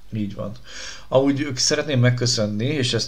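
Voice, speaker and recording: Ordinary pitch variation marks a man with a plain, everyday voice. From Budapest, Hungary. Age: 30s. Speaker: podcast host, former radio presenter. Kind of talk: casual chat.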